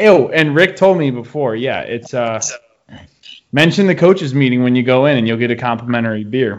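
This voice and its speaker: An unremarkable speaking voice with an American accent moves at a fairly quick pace, showing lively intonation and big swings in loudness. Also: man, medium pitch for a man. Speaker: podcast host. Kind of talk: casual chat.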